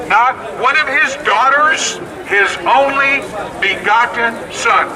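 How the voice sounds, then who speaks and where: Very slowly and with lively intonation, a man speaks at an extremely high pitch in an American accent, with noticeable background noise. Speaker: street preacher. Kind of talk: street preaching to a crowd. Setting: outdoors, public street. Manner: loud, forceful, confrontational.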